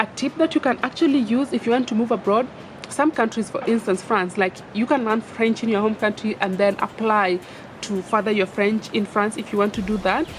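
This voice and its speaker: Over noticeable background noise, a woman talks at a fairly quick pace with a fairly high pitch and ordinary pitch variation. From Kenya. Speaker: vlogger. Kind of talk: casual advice vlog. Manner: animated.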